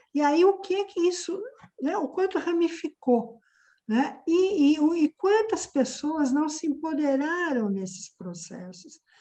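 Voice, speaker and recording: A high-pitched woman's voice with very wide pitch swings and a very slow pace. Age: 60s. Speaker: activist and course moderator. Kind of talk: discussion.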